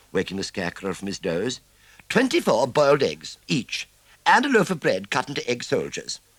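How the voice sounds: The reading is done aloud. The voice sounds natural.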